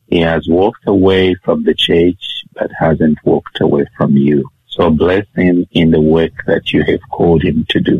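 A man with a Zambian accent speaks in a very deep, low pitch. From Zambia, Kitwe. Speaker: guest sharing life story. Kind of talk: interview testimony.

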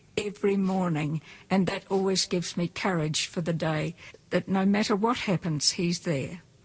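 Intonation here is fairly even. A somewhat breathy quality runs through the voice. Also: woman. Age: 70s. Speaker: retired teacher. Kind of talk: testimony. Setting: studio.

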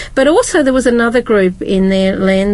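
This woman's pitch sits fairly high and varies in an ordinary way. The background noise is noticeable. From Britain. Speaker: Bible study panelist. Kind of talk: group Bible study discussion.

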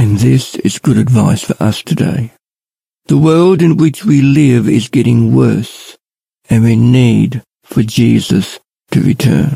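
With an Australian accent, a man speaks at a very slow pace and very even loudness, in a dry, close sound with no echo. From Australia, Ballarat, Victoria. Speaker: lay preacher. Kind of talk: devotional talk.

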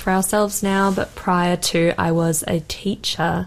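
The speaker has an Australian accent on a very clean recording with a silent background. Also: woman. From Australia, Sydney. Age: 20s. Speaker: cancer survivor sharing her story. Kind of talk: radio interview testimony. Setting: radio studio, live broadcast.

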